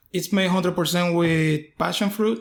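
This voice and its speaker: A man's high-pitched voice with a Puerto Rican accent and fairly even intonation. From Puerto Rico. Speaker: distillery owner. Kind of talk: casual interview. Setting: on location at a distillery.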